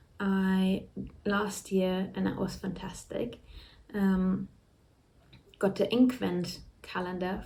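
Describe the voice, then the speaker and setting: Very slowly and with long, frequent pauses, a woman talks in a dark, mellow, somewhat breathy tone at a medium pitch, her intonation flat and monotone, with audible room echo around her. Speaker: knitting vlogger. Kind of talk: casual chat.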